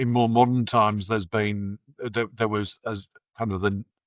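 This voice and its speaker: A man at a medium pitch with a Yorkshire accent and ordinary pitch variation. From Yorkshire, England (Huddersfield). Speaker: beer writer and podcast co-host. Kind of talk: casual chat. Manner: halting, many repetitions.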